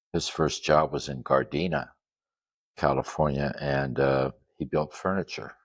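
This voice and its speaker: A man's very deep, low voice carries vocal fry and fairly even intonation. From Netherlands, then Los Angeles area from childhood. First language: Dutch. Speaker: custom van owner and grille manufacturer. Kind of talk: interview. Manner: hesitant, many fillers.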